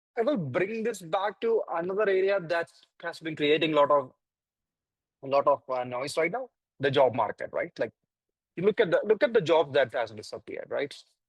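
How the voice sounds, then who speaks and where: A man with a Keralan accent speaks at a moderate pace in a high pitch, with very wide pitch swings. He leaves long, frequent pauses, and the sound is dry and close with no echo. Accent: Indian English, Malayali. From India, Kerala. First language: Malayalam. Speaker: AI ethics panelist. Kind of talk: panel discussion. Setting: virtual conference. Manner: halting, many fillers.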